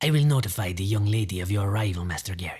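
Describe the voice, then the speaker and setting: A man does a put-on character voice, fairly low in pitch and very fast. The recording is very clean, with a silent background. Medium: read story. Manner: formal, clipped, quietly menacing.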